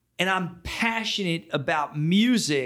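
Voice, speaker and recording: A man with an American accent speaks at a fairly slow pace in a raised, projected voice that is high-pitched, bright and sharp. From Philadelphia area, US. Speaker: music and action sports entrepreneur. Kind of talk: interview conversation. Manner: animated.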